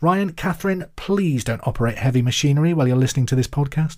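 A man with a somewhat breathy voice talks at a fairly quick pace with lively intonation. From England, Hereford. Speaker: quiz podcast host, radio presenter. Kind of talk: casual chat with listener mail; quiz hosting.

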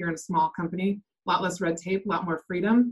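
A normal speaking voice from a woman, fairly low in pitch, with an American accent, a fairly quick pace and fairly even intonation. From US Pacific Northwest, Seattle area. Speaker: real estate team operations manager. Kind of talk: interview.

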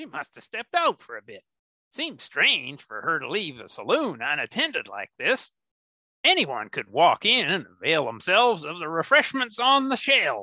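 A man with a high voice speaks at a moderate pace, and his loudness swings a lot. The sound is dry and close with no echo, over a quiet background. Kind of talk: comic western radio play. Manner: dry, sardonic.

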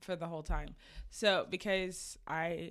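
In an American accent, a woman speaks with vocal fry. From Oklahoma, Tulsa. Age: 20s. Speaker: content creator. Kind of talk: casual chat. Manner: animated.

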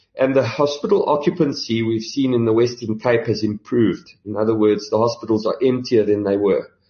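In a normal speaking voice, a man talks at medium pitch and a fairly quick pace, with ordinary pitch variation and hardly any pauses. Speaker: health insurance chief executive, doctor. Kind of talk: interview.

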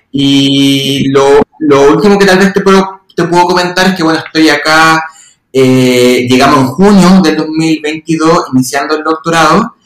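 Speaking fairly slowly, a man uses a normal speaking voice at a fairly high pitch. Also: ordinary pitch variation, very even loudness. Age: 30s. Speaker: occupational therapist and university lecturer. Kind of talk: casual interview chat.

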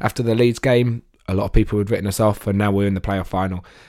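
A man with a fairly low pitch and fairly even intonation talks at a very fast pace, in a very clean recording with a silent background. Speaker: podcast co-host and football fan. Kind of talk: casual football chat.

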